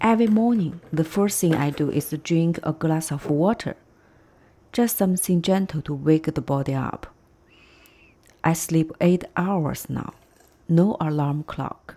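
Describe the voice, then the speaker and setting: With a Chinese accent, a woman speaks at a fairly slow pace in a calm tone, her dark, mellow voice fairly low in pitch with ordinary variation and long, frequent pauses. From China. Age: 40s. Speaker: vlogger. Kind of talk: personal vlog narration. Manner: calm, reflective.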